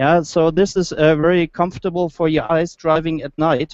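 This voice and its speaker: A man with a German accent and a high pitch is heard in a dry, close sound with no echo. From Germany. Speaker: automotive engineer, project manager. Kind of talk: product presentation. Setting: motor show, live online hangout. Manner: halting, many fillers.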